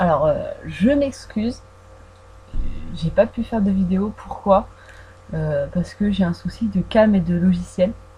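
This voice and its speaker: Against noticeable background noise, a woman speaks at a very slow pace with long, frequent pauses. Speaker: fan vlogger. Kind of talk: casual audio Q&A about films. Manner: hesitant, many fillers; trying to articulate carefully.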